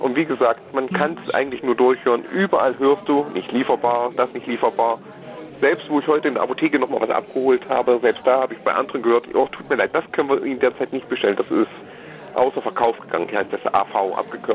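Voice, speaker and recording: A man delivers his words very fast with lively intonation as noticeable background noise continues. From eastern Germany. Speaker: caller. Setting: phone call.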